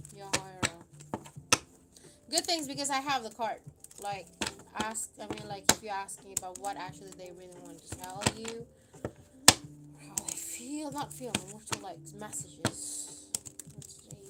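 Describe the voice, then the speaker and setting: Over noticeable background noise, a woman with a fairly high pitch speaks with very wide pitch swings, big swings in loudness, and long, frequent pauses. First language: not English. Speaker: tarot card reader. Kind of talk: live stream tarot reading. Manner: halting, many fillers.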